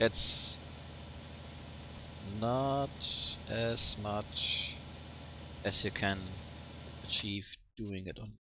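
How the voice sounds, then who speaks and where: With a German accent, a man speaks at a very slow pace and a fairly low pitch, leaving long, frequent pauses. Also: fairly even intonation. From Germany. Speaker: let's play gamer. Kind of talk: casual gameplay commentary. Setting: home microphone, sometimes poor audio.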